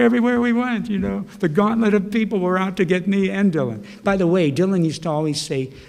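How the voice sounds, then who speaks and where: Very fast, animated speech from a high-pitched man, with hardly any pauses, ordinary pitch variation and audible room echo. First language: Slovak. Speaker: poet. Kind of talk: casual chat.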